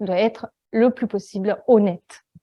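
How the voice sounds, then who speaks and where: With an Italian accent, a woman speaks in a dark, mellow tone at a medium pitch and a fairly slow pace, her pitch varying in an ordinary way. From Italy. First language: Italian (speaking French). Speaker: data visualization designer. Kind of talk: conference talk. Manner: hesitant, many fillers.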